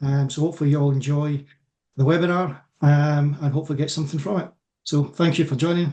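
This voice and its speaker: At a fairly quick pace, a man with a Scottish accent speaks in a somewhat breathy, dark, mellow tone, fairly high in pitch and monotone, with flat intonation. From Scotland. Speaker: electrical safety consultant. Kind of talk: self-introduction in webinar.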